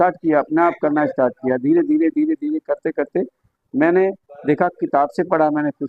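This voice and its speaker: A man speaks with ordinary variation in pitch. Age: 60s. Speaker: yoga teacher. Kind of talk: interview.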